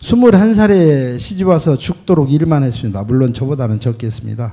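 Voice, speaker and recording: A man's medium-pitched, dark, mellow voice at a moderate pace, with very wide pitch swings. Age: 60s. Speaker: church member giving testimony. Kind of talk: testimony. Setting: church. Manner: reading from a prepared script.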